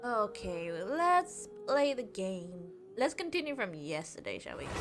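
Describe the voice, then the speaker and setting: A woman at medium pitch with very wide pitch swings, over music in the background. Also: fairly slow pace, big swings in loudness. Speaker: video game streamer. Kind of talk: live gameplay stream chat. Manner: casual, rambling with repetitions.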